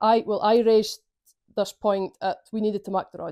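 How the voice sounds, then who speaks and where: In a Shetland accent, a woman of medium pitch speaks at a moderate pace with a dark, mellow tone and fairly even intonation, the sound dry and close with no echo on a very clean recording with a silent background. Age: young. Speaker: community councillor. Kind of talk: interview answer.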